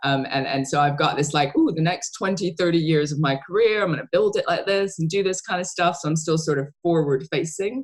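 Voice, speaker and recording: Speaking at a fairly quick pace with hardly any pauses, a woman uses an ordinary speaking voice at a fairly low pitch. Her pitch variation is ordinary and her loudness very even. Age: 30s. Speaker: podcast host. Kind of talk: podcast interview.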